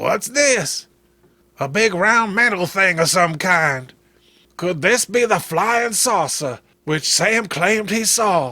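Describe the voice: A man puts on a character voice, pitched high, with a bright, sharp tone. He talks at a slow pace with lively intonation.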